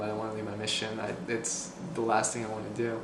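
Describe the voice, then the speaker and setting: Medium pitch from a man, with audible room echo and noticeable background noise. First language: Spanish. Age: 20s. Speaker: returned missionary with cancer. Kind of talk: personal testimony. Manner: halting, many fillers.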